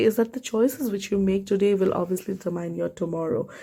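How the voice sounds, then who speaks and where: This woman, who has a non-native accent, speaks at a moderate pace with a medium pitch and ordinary pitch variation. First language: not English. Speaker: tarot reader. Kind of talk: tarot reading to camera. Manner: casual, halting with self-corrections.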